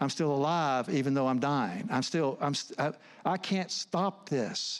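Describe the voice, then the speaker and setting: A man talks at a fairly slow pace in a fairly high pitch, with ordinary pitch variation. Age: 60s. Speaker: counselor and speaker. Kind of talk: sermon. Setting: church. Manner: halting.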